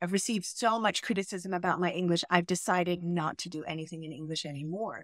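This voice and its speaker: Speaking fairly quickly with an American accent, a woman uses a plain, everyday voice at a medium pitch, in a very clean recording with a silent background. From US (New York, Chicago area). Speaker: English language coach. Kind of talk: casual interview. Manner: warm, affectionate.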